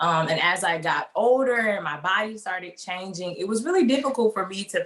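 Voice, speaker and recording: A woman with a Mississippi accent at a moderate pace, with ordinary pitch variation, amid noticeable background noise. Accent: Southern US (Mississippi). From US South, Mississippi. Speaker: fashion design student. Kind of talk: interview.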